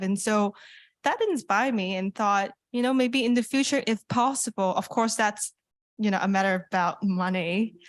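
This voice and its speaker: Against a quiet background, a woman in a Cantonese accent speaks at medium pitch and a moderate pace. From Hong Kong. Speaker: youth internet governance participant. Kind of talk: open mic comment. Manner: hesitant, many fillers.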